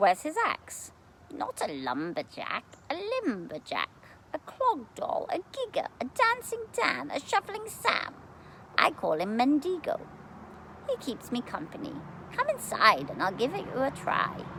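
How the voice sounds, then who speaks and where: A woman talks in a put-on character voice, pitched high, at a moderate pace. Clear background noise runs behind her. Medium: read story. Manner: smooth, coaxing, archaic.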